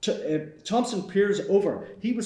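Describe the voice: A man's voice with ordinary pitch variation and audible room echo. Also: slightly mellow tone.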